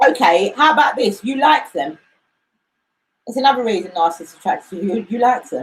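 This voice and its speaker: A woman speaks loudly at a very fast pace, fairly high in pitch with very wide pitch swings and an animated tone. She leaves long, frequent pauses. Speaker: co-host of live talk show on narcissism. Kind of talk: live show discussion. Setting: live stream.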